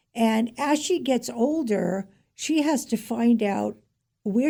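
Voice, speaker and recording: A woman's fairly high, somewhat breathy voice in a dark, mellow tone, very clean recording with a silent background. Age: 70s. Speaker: author. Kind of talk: interview.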